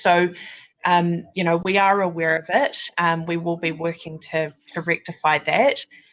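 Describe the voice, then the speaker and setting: A woman speaks with a New Zealand accent. Her voice is fairly low, with fairly even intonation. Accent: New Zealand twang. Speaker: recruitment candidate manager. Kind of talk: webinar presentation. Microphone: sound issues in the recording.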